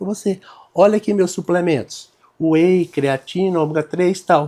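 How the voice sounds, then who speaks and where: The tone is dark and mellow. The pace is moderate. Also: man. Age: 60s. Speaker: doctor. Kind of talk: casual chat.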